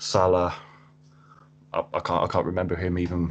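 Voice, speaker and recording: A man with a southern English accent speaks in a very deep, low pitch. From Cambridge, England. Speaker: football fan guest. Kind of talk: casual chat. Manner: halting, repeats words.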